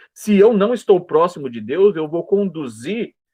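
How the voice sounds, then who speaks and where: This man speaks with a high pitch. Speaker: Sunday school Bible teacher. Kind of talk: Bible lesson lecture.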